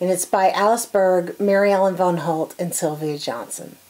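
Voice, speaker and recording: Fairly slow female speech in an American accent with ordinary pitch variation. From US South. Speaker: quilting YouTuber. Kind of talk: casual book review monologue. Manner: animated. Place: home room.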